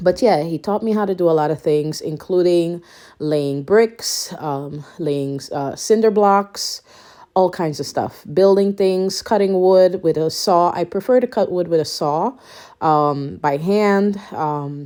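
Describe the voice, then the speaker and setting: Speaking at a very slow pace, a woman has a fairly low pitch, a dark, mellow tone and ordinary pitch variation. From Guyanese family, raised in Suriname. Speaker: lifestyle and home renovation vlogger. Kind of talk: casual vlog talk.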